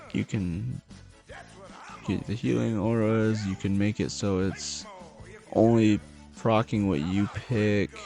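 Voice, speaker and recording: A man's fairly low voice at a very slow pace, with long, frequent pauses, ordinary pitch variation and music in the background. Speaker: gaming content creator. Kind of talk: casual gaming commentary.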